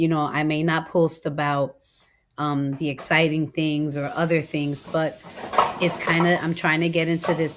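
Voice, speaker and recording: A woman's very deep, low pitch in a monotone, flat intonation at a moderate pace. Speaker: lifestyle vlogger. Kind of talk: casual voiceover vlog. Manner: conversational, hesitant with many ums.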